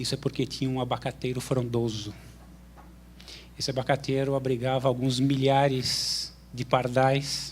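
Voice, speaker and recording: A man at medium pitch and moderate pace, in a monotone, flat intonation with long, frequent pauses. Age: 50s. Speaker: graduate student, audience questioner. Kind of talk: audience question with personal anecdote.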